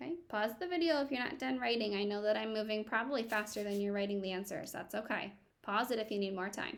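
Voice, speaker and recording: Talking very fast with hardly any pauses, a woman uses a fairly high pitch and ordinary pitch variation while audible room echo surrounds her. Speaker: elementary school teacher. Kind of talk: recorded classroom lesson for children.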